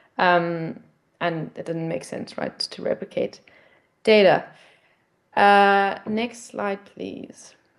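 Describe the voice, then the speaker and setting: A woman with a South African accent talks at a very slow pace in a medium pitch, with ordinary pitch variation, big swings in loudness, and long, frequent pauses. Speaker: nonprofit project representative. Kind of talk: pitch presentation. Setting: video call. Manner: hesitant, many fillers.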